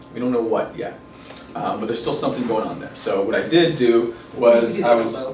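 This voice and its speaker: Behind the voice is noticeable background noise. The man talks at a fairly quick pace. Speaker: NLP and hypnosis trainer. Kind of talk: live training seminar explanation. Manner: casual, hesitant with fillers.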